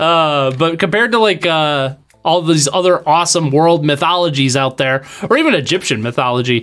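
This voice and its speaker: A man with a slight Wisconsin accent talks at a fairly quick pace in an animated tone, his fairly high voice showing ordinary pitch variation at very even loudness. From Wisconsin, US Midwest. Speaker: game streamer. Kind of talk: live game stream chat. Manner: animated, casual.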